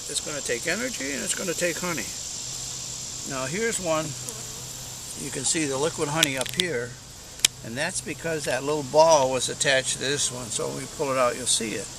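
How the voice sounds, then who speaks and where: Over noticeable background noise and audible room echo, a man speaks at a fairly quick pace with ordinary pitch variation and long, frequent pauses. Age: 70s. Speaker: beekeeper. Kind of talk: tutorial. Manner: casual.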